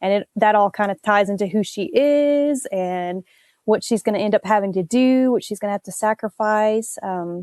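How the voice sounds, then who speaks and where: Fairly high-pitched woman with a Southern accent, ordinary pitch variation and a moderate pace, dry, close sound with no echo over a quiet background. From US South. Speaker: author. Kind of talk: interview.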